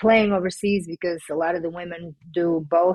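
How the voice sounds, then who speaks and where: A woman with a Portuguese accent speaks in a fairly low voice at a moderate pace. Her intonation is fairly even. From Portugal. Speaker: former pro basketball player turned sports agent. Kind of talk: podcast interview.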